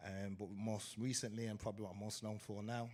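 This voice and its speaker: A man with an English accent, a fairly low pitch and monotone, flat intonation, at a very fast pace. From England, Wolverhampton (West Midlands). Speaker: DJ and event promoter. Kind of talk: live panel conversation. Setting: stage with live audience.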